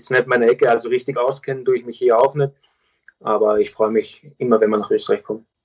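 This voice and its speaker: Very fast delivery with a flat, monotone intonation. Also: man, medium pitch for a man. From Austria. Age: 20s. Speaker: professional footballer. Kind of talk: interview.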